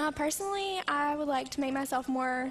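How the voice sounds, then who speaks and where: Soft-spoken and high-pitched, a woman with an American accent talks at a moderate pace. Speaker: college basketball player. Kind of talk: interview.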